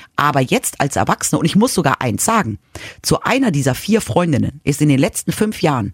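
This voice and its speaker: A woman talks in a very deep, low pitch, somewhat breathy, with very wide pitch swings. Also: dry, close sound with no echo. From Munich, Bavaria (childhood partly in Madrid). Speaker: podcast co-host. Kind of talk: casual chat.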